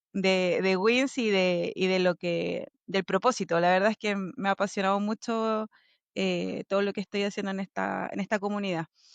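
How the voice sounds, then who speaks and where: Against a quiet background, a woman with a Chilean accent speaks at a moderate pace and medium pitch with fairly even intonation, the sound dry and close with no echo. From Chile, Valparaíso. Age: 30s. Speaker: logistics executive. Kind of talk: interview.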